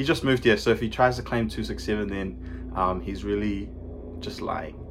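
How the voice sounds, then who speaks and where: With a New Zealand accent and a fairly low pitch, this man talks at a moderate pace with very wide pitch swings and vocal fry, and audible room echo surrounds his voice. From New Zealand, Manurewa, South Auckland. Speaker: photographer, graphic designer. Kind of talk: casual chat.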